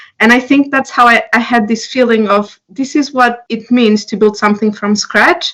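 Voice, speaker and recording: A woman with a Portuguese accent speaks at a moderate pace and a fairly high pitch, with hardly any pauses. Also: ordinary pitch variation. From Portugal. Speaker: entrepreneur. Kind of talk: interview. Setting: podcast.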